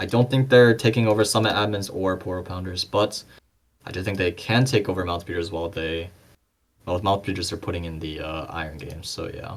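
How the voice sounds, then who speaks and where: In a very clean recording with a silent background, a man with a non-native accent speaks at a fairly quick pace in a very deep, low pitch, with ordinary pitch variation and big swings in loudness. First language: not English. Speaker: esports podcast commentator. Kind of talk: casual chat. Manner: halting.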